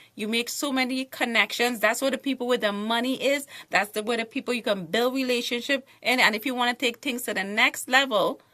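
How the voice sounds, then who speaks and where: With a Trinidadian accent, a woman speaks at a fairly quick pace in a high-pitched, bright, sharp tone. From Trinidad and Tobago. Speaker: author and TV show host. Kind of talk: panel discussion. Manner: animated.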